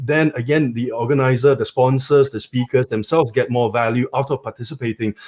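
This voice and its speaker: Man's somewhat breathy voice at medium pitch, moderate pace, quiet background. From Singapore. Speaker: company co-founder. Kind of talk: webinar discussion.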